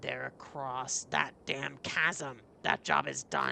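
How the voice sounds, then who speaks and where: A raspy, put-on character voice from a man at medium pitch and a very slow pace. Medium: read story. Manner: gruff, curt.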